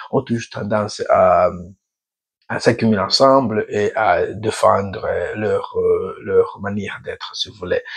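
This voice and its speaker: The background stays quiet. A man delivers his words fairly slowly. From Burundi. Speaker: YouTuber, African affairs commentator. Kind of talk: channel introduction monologue. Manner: halting, many hesitations; tries to speak slowly.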